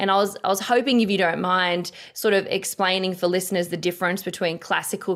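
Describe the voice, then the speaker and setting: A woman speaks at a medium pitch with an Australian accent, her intonation monotone and flat. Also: very clean recording, silent background. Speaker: podcast host. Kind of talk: interview conversation. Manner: hesitant, many fillers.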